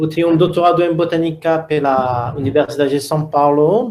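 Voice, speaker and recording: This man speaks with a French accent at a fairly slow pace. His intonation stays fairly even. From France. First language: French (speaking Portuguese). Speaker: botany professor. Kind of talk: online workshop presentation.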